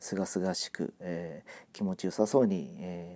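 This man's voice is fairly low in pitch, with a dark, mellow tone. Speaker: amateur podcaster. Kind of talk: casual monologue. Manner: halting, many fillers; fast at times.

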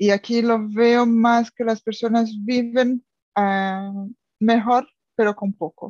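A somewhat breathy woman with a Brazilian accent, fairly high in pitch, in a dry, close sound with no echo. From Brazil, São Paulo. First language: Portuguese (speaking Spanish). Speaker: language student, expat. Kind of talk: casual chat. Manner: halting.

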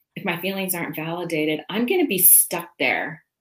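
A woman with an American accent speaks at a moderate pace in a normal speaking voice, her pitch fairly low. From California. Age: 50s. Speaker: sobriety coach and podcast host. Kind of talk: casual interview chat.

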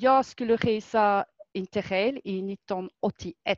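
Against a quiet background, a woman with a French accent talks in a medium pitch with lively intonation, the sound dry and close with no echo. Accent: French accent in Swedish. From France. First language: French (speaking Swedish). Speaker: fitness instructor and knitter. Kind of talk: casual chat.

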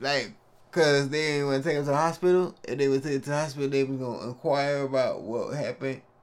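A man talks at a very fast pace. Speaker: podcast co-host. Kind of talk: casual chat.

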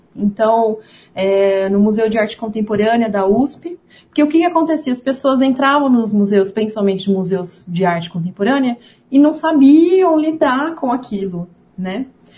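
A woman with a fairly high pitch and a dark, mellow tone speaks at a moderate pace, somewhat breathy, with lively intonation. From São Paulo state, Ribeirão Preto. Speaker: museum manager and visual artist. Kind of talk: casual chat.

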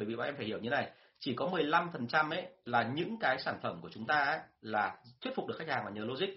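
Using very wide pitch swings and vocal fry, a man talks at a very fast pace with a fairly high pitch. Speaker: sales trainer. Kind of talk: live-stream talk and Q&A. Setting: online live stream. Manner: fluent, rarely stumbles.

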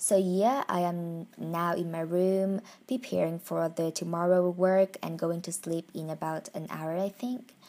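A woman with a Vietnamese accent speaks at a fairly slow pace. Her pitch sits in the medium range. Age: 20s. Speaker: podcaster. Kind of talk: personal monologue. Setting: at home in bedroom.

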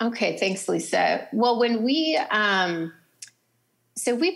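Very slowly, a woman with an American accent speaks with vocal fry. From North Dakota. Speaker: writer and nonprofit co-founder. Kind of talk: casual interview. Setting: remote call from a public library.

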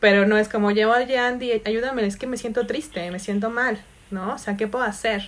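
With a Mexican accent, a woman speaks at a moderate pace in a fairly high pitch, keeping her intonation fairly even. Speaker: podcast host and meditation teacher. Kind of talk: casual chat.

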